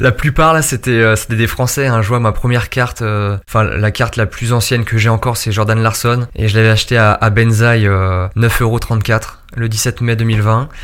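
Fairly even intonation marks an ordinary speaking voice delivered at a moderate pace. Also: man, medium pitch for a man, very even loudness. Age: 20s. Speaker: fantasy football player. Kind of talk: interview. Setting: office.

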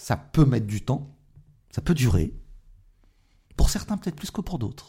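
A man's fairly high, dark and mellow voice with vocal fry, very wide pitch swings, a fairly slow pace and long, frequent pauses. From France, Moroccan family background. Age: 40s. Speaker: politician. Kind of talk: interview.

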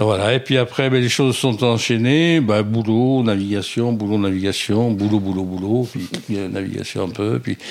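Against noticeable background noise, a man speaks at a moderate pace in a fairly low voice with ordinary pitch variation. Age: 70s. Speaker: retired sailor and shipwreck survivor. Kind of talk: interview testimony. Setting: at home. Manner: halting, repeats words.

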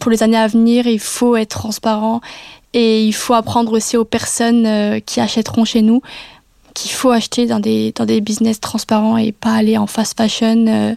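A woman's fairly high, dark, mellow voice at a moderate pace, monotone and flat, with a dry, close sound and no echo. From France, Metz (Lorraine). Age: 20s. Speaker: student entrepreneur. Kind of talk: personal testimony. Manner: hesitant with fillers and repetitions.

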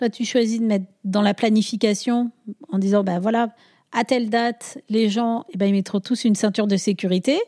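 A woman's dark, mellow tone holds fairly even intonation and very even loudness. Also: moderate pace. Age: 40s. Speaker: sustainability consultant, former chartered accountant. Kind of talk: casual interview. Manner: hesitant, many fillers.

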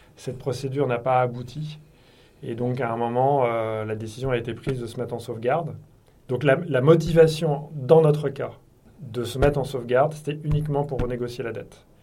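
In a room with audible echo, a man with a dark, mellow, somewhat breathy tone and medium pitch talks at a moderate pace with fairly even intonation. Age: 50s. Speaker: company executive. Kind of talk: interview.

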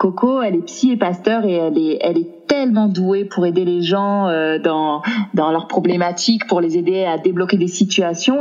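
A woman speaks at a medium pitch with ordinary pitch variation. Her pace is moderate, and there is noticeable background noise. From southern France, Aix-en-Provence. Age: 30s. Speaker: entrepreneur, single mother. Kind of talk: casual chat. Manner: halting, many repetitions.

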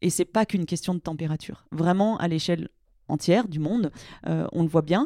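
Her voice carries a dark, mellow tone at a fairly low pitch, with ordinary pitch variation and a fairly quick pace. This woman is heard in a dry, close sound with no echo. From France, Grenoble (Alps). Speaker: glaciologist. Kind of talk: interview. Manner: halting with many fillers.

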